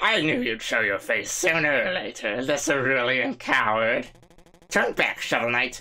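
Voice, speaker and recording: This is a put-on character voice at a low-to-middle pitch. It moves at a moderate pace. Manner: taunting, theatrical.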